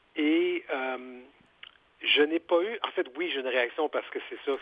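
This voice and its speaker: A man with an unremarkable speaking voice, pitched fairly high. He talks at a fairly slow pace with ordinary pitch variation. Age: 50s. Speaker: author and journalist. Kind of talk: interview.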